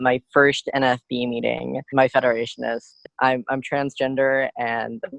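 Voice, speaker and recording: A man's medium-pitched, monotone, flat delivery at a moderate pace, with a dry, close sound with no echo. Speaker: blind student advocate. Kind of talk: podcast interview.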